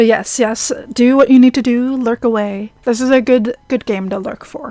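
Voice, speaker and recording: Calm in tone, a woman with a high pitch speaks at a moderate pace with fairly even intonation. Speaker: streamer. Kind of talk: live game stream reading and chatting with chat.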